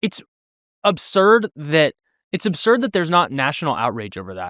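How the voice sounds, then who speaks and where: A man with a fairly high, bright, sharp voice and vocal fry moves through very wide pitch swings and big swings in loudness, in a dry, close sound with no echo. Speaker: pastor and podcast co-host. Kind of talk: casual chat. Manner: fast.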